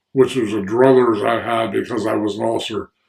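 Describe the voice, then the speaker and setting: Here a man with an American accent speaks at a moderate pace. His voice is fairly low, with vocal fry. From US Northeast (Pennsylvania / New Jersey). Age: 80s+. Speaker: war veteran. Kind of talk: oral history interview. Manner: halting.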